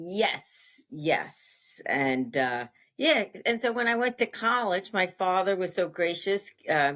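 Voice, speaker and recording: In an American accent, the speaker goes very slowly with very wide pitch swings and very even loudness, on a very clean recording with a silent background. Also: woman, medium pitch for a woman. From US Northeast, Long Island, New York. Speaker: interview guest sharing life story. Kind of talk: interview, personal testimony. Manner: halting, many fillers.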